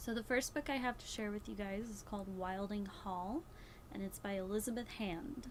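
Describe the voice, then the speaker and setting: A woman with a somewhat breathy voice speaks at a fairly quick pace. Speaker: booktuber. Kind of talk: book review vlog. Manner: slurring words; casual, hesitant with fillers.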